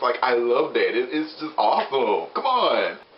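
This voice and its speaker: A man speaks against noticeable background noise. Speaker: TV show reviewer. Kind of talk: casual review talk to camera. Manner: enthusiastic.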